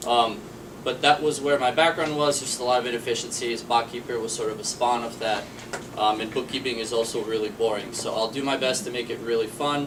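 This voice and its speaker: Against noticeable background noise, a man talks at a fairly quick pace with fairly even intonation. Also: medium pitch for a man. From Boston. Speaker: startup managing director. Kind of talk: panel discussion.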